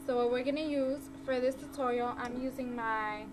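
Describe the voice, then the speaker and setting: A woman's high, flat, monotone voice at a moderate pace, with noticeable background noise. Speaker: beauty vlogger. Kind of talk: hair tutorial talk to camera. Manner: casual, friendly. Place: home room. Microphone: webcam.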